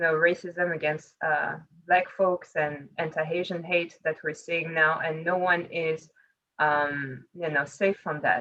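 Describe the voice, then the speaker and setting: Fairly slow and fairly low, a woman speaks with monotone, flat intonation. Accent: French. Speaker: panelist on women in leadership. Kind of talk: panel discussion.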